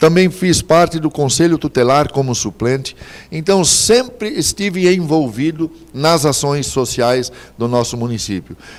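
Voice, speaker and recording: Through noticeable background noise, a man speaks at a fairly slow pace with lively intonation. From Santa Catarina, southern Brazil. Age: 60s. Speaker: mayoral candidate, politician. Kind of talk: political interview. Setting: TV studio, live broadcast.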